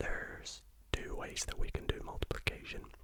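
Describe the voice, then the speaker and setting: Noticeable background noise accompanies someone whispering. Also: man. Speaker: ASMR maths tutor. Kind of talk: ASMR maths lesson. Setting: home studio. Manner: whispered.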